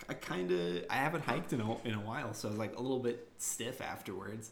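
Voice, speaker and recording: The man's voice sits fairly low and moves at a fairly quick pace. His pitch varies in an ordinary way, with audible room echo around it. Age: 20s. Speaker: podcast co-host. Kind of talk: casual chat.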